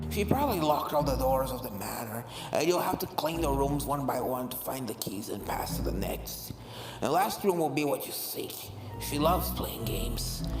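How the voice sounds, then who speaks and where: Over loud background music and with slight echo, someone performs a put-on character voice. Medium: read story.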